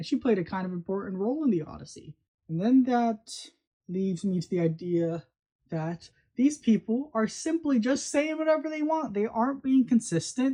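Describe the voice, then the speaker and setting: Against a quiet background, a woman with a fairly high, somewhat breathy voice speaks at a moderate pace, her pitch swinging very widely. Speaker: video commentator. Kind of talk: casual commentary monologue. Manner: slurring, stumbling over words.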